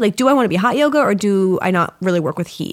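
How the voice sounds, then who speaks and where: Very clean and silent in the background, the recording captures a woman speaking at a very fast pace. Her medium-pitched voice has lively intonation. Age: 30s. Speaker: yoga teacher. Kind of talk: casual chat.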